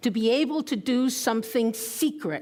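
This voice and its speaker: A woman speaks at a fairly high pitch. Her intonation is lively. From Puerto Rico. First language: Spanish. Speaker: retired intelligence officer, conference speaker. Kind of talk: conference talk. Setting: stage with audience. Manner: conversational, with hesitations.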